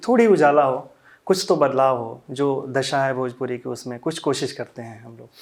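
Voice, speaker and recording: A man with a Bihari accent talks at a moderate pace, with a fairly high pitch and ordinary pitch variation. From Siwan, Bihar, India. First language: Bhojpuri (speaking Hindi). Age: young. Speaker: Bhojpuri ghazal singer. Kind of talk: interview.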